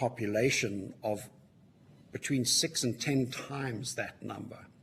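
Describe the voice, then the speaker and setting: In a Southern African accent, a man speaks in a somewhat breathy voice. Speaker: witness at a parliamentary inquiry, mining sector. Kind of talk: committee hearing testimony. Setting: public hearing.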